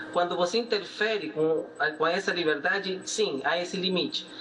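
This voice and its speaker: A man with a Peruvian accent over noticeable background noise. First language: Spanish (speaking Portuguese). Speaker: economist. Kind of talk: TV interview. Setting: video call. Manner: halting.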